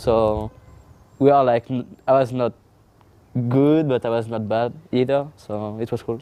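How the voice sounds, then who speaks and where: This man has a dark, mellow tone and a French accent, speaking at a medium pitch with fairly even intonation. His pace is fairly slow, with long, frequent pauses. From France. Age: 20s. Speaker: pro esports player. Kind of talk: interview. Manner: halting.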